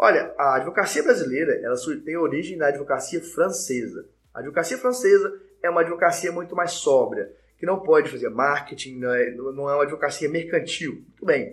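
A man with a high voice talks fairly quickly, his pitch varying in an ordinary way. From Brazil, Minas Gerais (Belo Horizonte). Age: 20s. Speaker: lawyer and law professor. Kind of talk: live-streamed lecture with audience Q&A. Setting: online live stream. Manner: fast.

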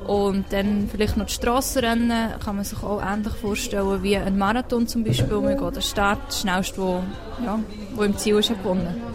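Over background music and audible room echo, a woman with a Swiss accent talks at a moderate pace and medium pitch with fairly even intonation. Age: 20s. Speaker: unicyclist and teacher. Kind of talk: interview.

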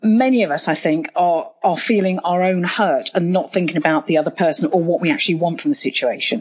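With a plain, everyday voice, a woman speaks at a fairly quick pace and a fairly low pitch, her loudness very even and her intonation lively. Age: 50s. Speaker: podcast host. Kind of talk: interview.

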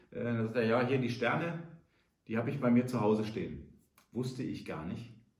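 A man with a somewhat breathy, medium-pitched voice speaks at a fairly quick pace with ordinary pitch variation. Long, frequent pauses and audible room echo are present. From Rhineland, Germany. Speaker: entrepreneur. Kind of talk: business advice monologue.

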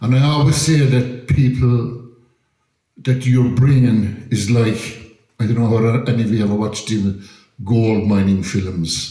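In an Irish accent, a man talks fairly slowly at medium pitch with a dark, mellow, somewhat breathy tone and ordinary pitch variation, in audible room echo. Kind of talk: talk to audience.

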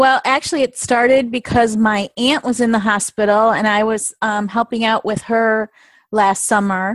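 A woman's fairly high voice at a moderate pace, with fairly even intonation and a dry, close sound free of echo

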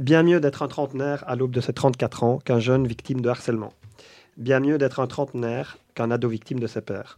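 A man with a dark, mellow tone talks fairly quickly at a medium pitch. His intonation is fairly even and the background quiet. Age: 30s. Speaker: youth association coordinator. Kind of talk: reading own text aloud; casual chat.

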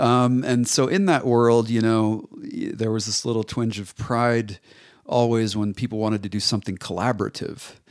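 A man with an American accent talks at a moderate pace in a medium pitch, with fairly even intonation. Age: 30s. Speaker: ceramic artist. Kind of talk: casual interview. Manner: halting, many repetitions.

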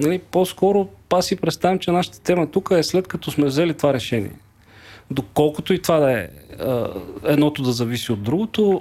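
With a normal speaking voice, a man talks at a moderate pace, fairly high in pitch and with lively intonation. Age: 40s. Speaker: investment broker executive. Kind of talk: casual chat.

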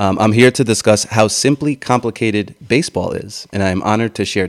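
He speaks at a moderate pace with ordinary pitch variation and a fairly low pitch. It is a plain, everyday voice, heard dry and close with no echo. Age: 30s. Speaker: podcast host. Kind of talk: casual interview.

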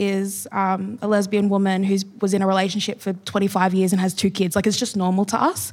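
A woman with an Australian accent speaks at a moderate pace and medium pitch, with hardly any pauses and very even loudness. Her intonation is flat and monotone, on a very clean recording with a silent background. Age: young. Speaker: writer. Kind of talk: panel discussion. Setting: stage with audience.

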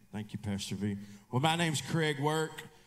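A man speaks at a moderate pace and a medium pitch. His intonation is lively.

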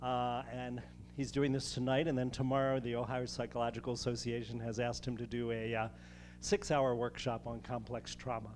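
In a normal speaking voice, a man delivers his words at a fairly quick pace. His pitch sits in the medium range. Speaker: host introducing speaker. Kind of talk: introduction speech. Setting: stage with audience.

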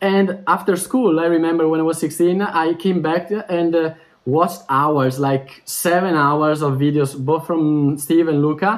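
The speaker has an Italian accent, very even loudness and ordinary pitch variation. The recording is very clean, with a silent background. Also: man, fairly high pitch for a man. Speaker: language teacher. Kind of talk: interview. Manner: fast.

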